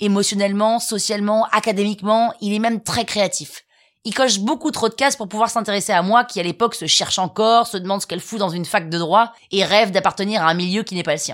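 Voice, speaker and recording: At a very fast pace, a woman talks in an animated tone at medium pitch with ordinary pitch variation. The recording is very clean, with a silent background. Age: 30s. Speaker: podcast host, storyteller. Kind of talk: scripted comic storytelling.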